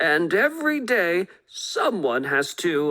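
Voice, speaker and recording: A raspy, put-on character voice from a woman at medium pitch, fairly slow, with very wide pitch swings. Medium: read story. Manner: brisk, matter-of-fact.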